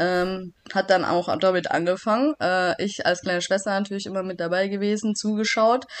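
A woman speaks in a normal speaking voice at a medium pitch. Her pace is moderate and her intonation fairly even. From Swabia, Germany (Backnang). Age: 30s. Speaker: judoka, Olympic athlete. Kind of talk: casual interview.

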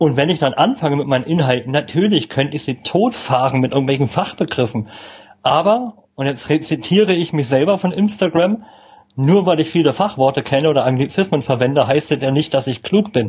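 Speech comes at a fairly quick clip. There is a somewhat breathy quality to it. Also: man, fairly high pitch for a man. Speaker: communication trainer. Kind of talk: casual interview. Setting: live video stream.

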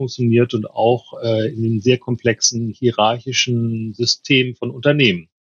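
The man's voice is somewhat breathy, and he keeps a moderate pace. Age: 50s. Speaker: mediator and trainer. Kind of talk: casual chat.

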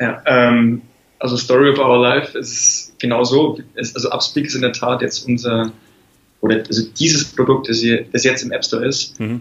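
A man's somewhat breathy voice in a monotone, flat intonation. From Lower Bavaria, Germany. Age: 20s. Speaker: app startup founder. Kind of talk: interview.

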